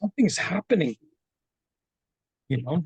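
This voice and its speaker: Somewhat breathy, a man speaks with lively intonation in a dry, close sound with no echo. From Philippines. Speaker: canoe project participant. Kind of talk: personal testimony. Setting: video call. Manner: halting.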